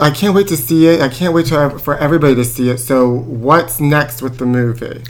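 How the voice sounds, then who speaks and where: Over noticeable background noise, a man of medium pitch talks at a fairly quick pace with hardly any pauses and ordinary pitch variation. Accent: American. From Pittsburgh, US. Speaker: podcast host. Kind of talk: comedic gossip chat. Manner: campy put-on voice.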